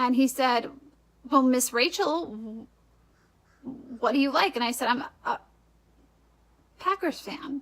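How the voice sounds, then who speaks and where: Speaking in an American accent, a woman with a high pitch and ordinary pitch variation talks at a fairly slow pace with long, frequent pauses, over noticeable background noise. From Wisconsin, US Upper Midwest. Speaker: vlogger. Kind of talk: casual vlog talk. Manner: conversational, frequent um fillers.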